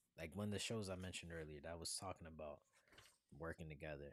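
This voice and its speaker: A man with a very deep, low pitch. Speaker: spiritual tarot reader streamer. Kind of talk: live tarot reading stream. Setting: livestream. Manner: slow, taking his time; casual slangy.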